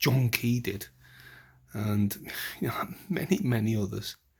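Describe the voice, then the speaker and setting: A somewhat breathy male voice with lively intonation. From UK. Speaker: political commentator vlogger. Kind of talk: casual monologue. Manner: halting, repeats words; impassioned.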